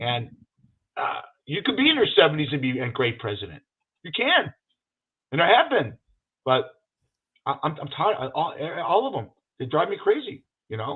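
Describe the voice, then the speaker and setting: The man speaks at a moderate pace with long, frequent pauses. His pitch swings very widely, and his loudness rises and falls in big swings. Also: fairly high pitch for a man. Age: 60s. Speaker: podcast co-host. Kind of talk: casual chat. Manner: animated.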